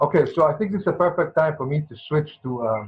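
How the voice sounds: Fast and lively in intonation, a man talks at a fairly high pitch. His voice has a slightly husky edge.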